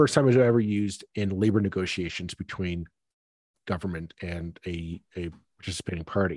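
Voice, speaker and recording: Speaking with a Canadian accent, a man with a very deep, low pitch talks at a fairly quick pace with ordinary pitch variation, the sound dry and close with no echo over a quiet background. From Toronto suburbs, Ontario, Canada. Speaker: podcast host. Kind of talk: casual political discussion.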